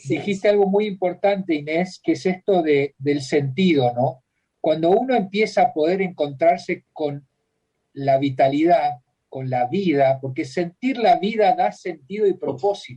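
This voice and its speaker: At a fairly slow pace, a man with a high pitch and a dark, mellow tone speaks with lively intonation. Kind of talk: radio interview.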